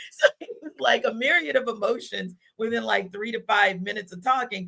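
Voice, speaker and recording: Bright and sharp, a woman's fairly high voice carries vocal fry as she talks at a moderate pace. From New Orleans. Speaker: sports podcast host. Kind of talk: casual chat.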